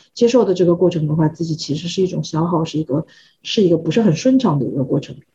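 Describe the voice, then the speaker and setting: A woman talks at a very fast pace in a fairly low pitch, her dark, mellow tone somewhat breathy and her intonation lively. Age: 30s. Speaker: expectant mother, visual effects artist. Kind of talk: casual group chat. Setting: online group recording.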